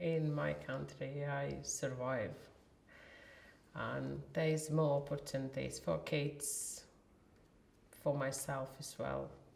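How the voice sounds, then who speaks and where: Very slowly, a woman speaks with long, frequent pauses while audible room echo surrounds her voice. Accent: Latvian. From Latvia. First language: Latvian. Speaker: warehouse worker. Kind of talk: interview.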